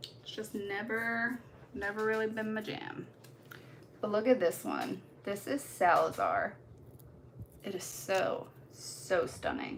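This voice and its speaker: With a slight Baltimore accent, a woman speaks very slowly at a fairly high pitch with lively intonation and long, frequent pauses, in a room with audible echo. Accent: slight Baltimore twang. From US Midwest. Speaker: nail art content creator. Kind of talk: live stream tutorial chat. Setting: live stream. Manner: casual, chatty.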